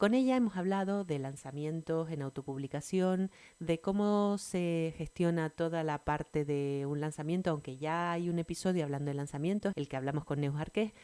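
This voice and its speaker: A woman's dark, mellow voice, fairly low in pitch, at a moderate pace with ordinary pitch variation and hardly any pauses. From Canary Islands, Tenerife. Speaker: podcast host, writer. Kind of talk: podcast interview.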